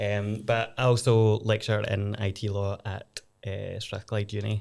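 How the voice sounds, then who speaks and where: A man with a Glaswegian accent speaks in a fairly low voice at a fairly slow pace. His intonation is monotone and flat. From Scotland, Glasgow. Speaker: lawyer and law lecturer. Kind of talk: casual podcast discussion.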